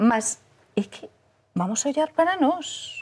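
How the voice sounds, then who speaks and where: A woman's somewhat breathy voice. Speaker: journalist. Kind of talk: panel discussion.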